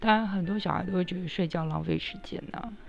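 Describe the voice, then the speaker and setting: Noticeable background noise and audible room echo fill the recording. A woman talks with fairly even intonation. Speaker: podcast host. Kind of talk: personal storytelling monologue.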